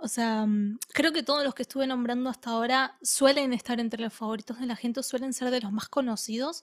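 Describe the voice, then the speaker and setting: A woman speaks in an Argentine accent at a high pitch and moderate pace, with ordinary pitch variation. The recording is very clean, with a silent background. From Argentina. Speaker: podcast co-host and editor. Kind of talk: casual chat.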